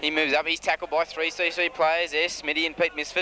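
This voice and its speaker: Light background noise sits under a dry, echo-free recording of a man talking at a fairly quick pace. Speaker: amateur match commentator. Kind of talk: sports commentary. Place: open country. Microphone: old recording.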